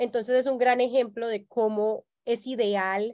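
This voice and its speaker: Over a quiet background, a woman with an ordinary speaking voice talks at a fairly high pitch with ordinary pitch variation. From Colombia. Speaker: marketing software company agency program manager; webinar presenter. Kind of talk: webinar presentation. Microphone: video call.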